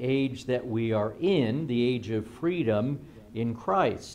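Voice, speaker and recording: A man at a very slow pace, with lively intonation. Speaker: pastor teaching. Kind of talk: sermon-style Bible lecture. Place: church.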